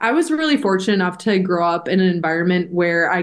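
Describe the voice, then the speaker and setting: A woman's plain, everyday voice, medium in pitch, with an American accent, at a moderate pace. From Minnesota, Edina. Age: 20s. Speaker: college hockey player. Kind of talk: interview.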